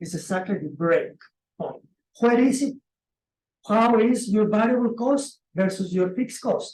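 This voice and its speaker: A Spanish accent comes through at a fairly slow pace, broken by long, frequent pauses. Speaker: presenter on commercial real estate. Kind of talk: webinar presentation. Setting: online webinar. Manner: animated.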